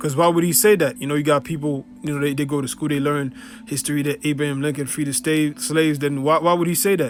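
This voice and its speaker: Over music in the background, a man talks at a fairly high pitch with ordinary pitch variation. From Haiti. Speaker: religious teacher. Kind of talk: religious teaching video. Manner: casual, filler-heavy.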